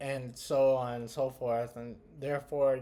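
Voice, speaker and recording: Speaking at a fairly slow pace, a man with medium pitch has a dark, mellow tone and monotone, flat intonation. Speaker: podcast host. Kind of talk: video commentary. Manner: hesitant, many fillers.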